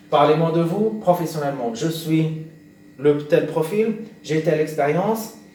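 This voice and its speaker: Audible room echo surrounds a man whose voice sits at a fairly high pitch. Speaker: career advice youtuber. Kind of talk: tutorial. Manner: slow; halting, many hesitations.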